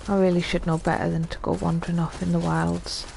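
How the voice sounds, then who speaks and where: Amid audible room echo and noticeable background noise, a woman talks at a moderate pace. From northeast England. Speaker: gaming streamer. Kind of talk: let's play commentary.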